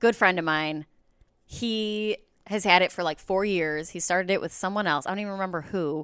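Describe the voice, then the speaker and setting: A woman with an unremarkable speaking voice talks at a fairly quick pace and a medium pitch, with ordinary pitch variation, on a very clean recording with a silent background. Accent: American. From Chicago northwest suburbs (Mount Prospect). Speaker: stand-up comedian. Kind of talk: casual interview chat.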